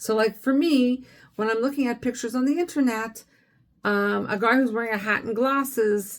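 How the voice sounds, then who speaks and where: Her pace moderate and her pitch fairly high, a woman speaks with lively intonation on a very clean recording with a silent background. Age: 60s. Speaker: dating vlogger. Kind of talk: casual monologue to camera. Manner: hesitant, many fillers.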